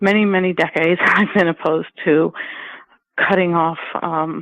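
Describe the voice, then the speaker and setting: A woman's fairly low-pitched voice in a monotone, flat intonation. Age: 60s. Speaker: nonprofit executive and advocate. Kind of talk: interview. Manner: halting, many fillers.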